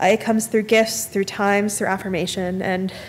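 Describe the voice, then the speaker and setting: Light background noise sits behind a woman talking with ordinary pitch variation. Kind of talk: eulogy. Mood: grieving, tender, grateful. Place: church.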